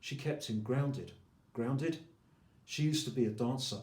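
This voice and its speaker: Somewhat breathy, a man talks at a moderate pace and medium pitch, with ordinary pitch variation. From England. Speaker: poet. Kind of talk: poetry reading.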